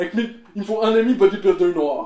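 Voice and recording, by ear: A man speaks at a fast pace with a high pitch and a dark, mellow tone. His pitch varies in an ordinary way, and the room echo is audible.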